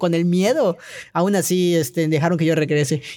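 A dark, mellow tone comes through at a fairly quick pace. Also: man. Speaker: trampoline gymnast. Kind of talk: casual interview. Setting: recording studio. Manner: hesitant, many fillers.

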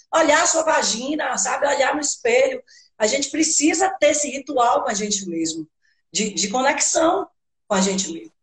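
Her intonation is lively. The woman talks at a moderate pace. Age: 50s. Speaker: belly dance teacher and body therapist. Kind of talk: casual chat. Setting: live stream.

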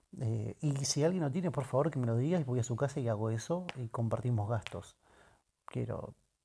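Heard on a very clean recording with a silent background, a man speaks at medium pitch and a moderate pace. His tone is dark and mellow, somewhat breathy, with ordinary pitch variation. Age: 30s. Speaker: podcaster and audiovisual producer. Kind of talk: casual solo monologue. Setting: at home.

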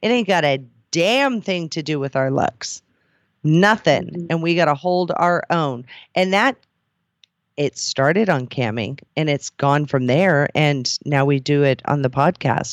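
Captured on a very clean recording with a silent background, the speaker uses an animated, playful tone at a fairly slow pace. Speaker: podcast host and cam model. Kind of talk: casual banter podcast chat.

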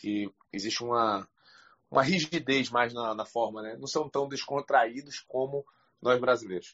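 A man with a northeastern Brazilian accent speaks at a fairly slow pace in a medium pitch, with ordinary pitch variation and big swings in loudness. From Brazil, Recife. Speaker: audience member asking question. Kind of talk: casual chat. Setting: online audio room.

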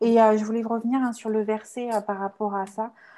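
A woman's fairly high voice, dark and mellow in tone, monotone and flat, over a quiet background. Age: 30s. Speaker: communication consultant and trainer. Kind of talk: testimony.

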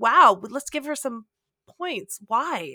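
Raised and projected, a woman's high-pitched, bright, sharp voice moves very slowly with very wide pitch swings. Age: 40s. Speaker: lay theologian. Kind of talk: casual chat.

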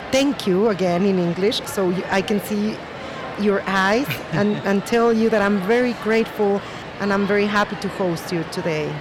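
A woman's very slow, medium-pitched speech with very even loudness and fairly even intonation, amid noticeable background noise and audible room echo. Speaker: podcast host. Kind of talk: podcast introduction; interview. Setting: hotel restaurant.

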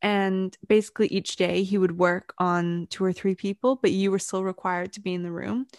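Against a quiet background, a woman speaks at a moderate pace with fairly even intonation, the sound dry and close with no echo. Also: medium pitch for a woman. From Britain, raised in Vancouver, Canada. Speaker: podcast co-host. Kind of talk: casual chat.

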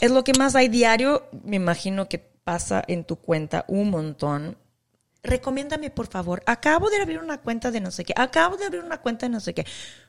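The speaking pace is moderate. Pitch moves in very wide swings. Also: woman, fairly high pitch for a woman. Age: 40s. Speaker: podcast host, mom influencer and former model. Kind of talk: casual chat. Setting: remote call from home.

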